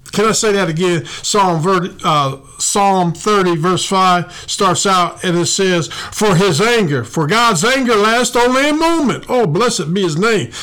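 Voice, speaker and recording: High male voice with lively intonation and very even loudness, at a fairly slow pace with hardly any pauses, plus audible room echo and noticeable background noise. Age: 60s. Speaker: pastor and podcast host. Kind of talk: sermon. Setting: studio. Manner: animated.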